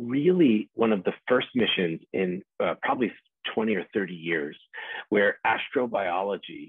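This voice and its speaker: A man in a dry recording with no echo and a quiet background. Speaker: invited guest lecturer. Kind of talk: lecture. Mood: enthusiastic, relaxed. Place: home room. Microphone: video call.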